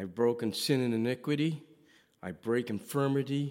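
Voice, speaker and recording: A man speaks fairly slowly at a medium pitch. His pitch varies in an ordinary way. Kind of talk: testimony.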